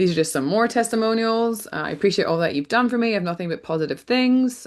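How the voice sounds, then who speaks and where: The voice carries a Scottish accent with lively intonation. The background is quiet. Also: woman. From Scotland. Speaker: rancher and farm marketing coach. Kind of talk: webinar workshop presentation.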